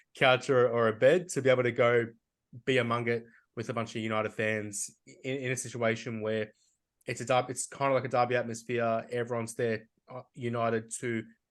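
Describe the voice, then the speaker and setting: Against a quiet background, a man with an Australian accent speaks at medium pitch with fairly even intonation. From Australia, Melbourne. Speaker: football podcast co-host. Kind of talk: casual chat.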